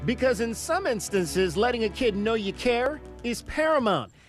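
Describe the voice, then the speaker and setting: Music plays in the background as a man speaks. His tone is serious and his pace moderate. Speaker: sports anchor and reporter. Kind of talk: television sports anchor delivery. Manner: serious, somber storytelling.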